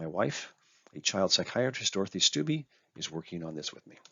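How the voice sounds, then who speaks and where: A fairly quick man with an American accent and very wide pitch swings. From Arizona, US-Mexico border ranch. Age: 60s. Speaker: author and guitar lover. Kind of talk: presentation talk.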